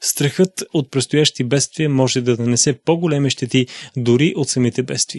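A man of medium pitch with an unremarkable speaking voice, at a moderate pace with very even loudness, fairly even intonation and a dry, close sound with no echo. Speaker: narrator reading a translated sermon. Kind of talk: reading aloud.

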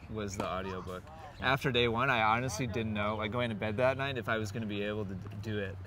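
The pace is fairly quick with ordinary pitch variation. The sound is dry with no echo, and there is light background noise. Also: man. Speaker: interviewee. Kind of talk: interview answer. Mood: relaxed, amused. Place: open country.

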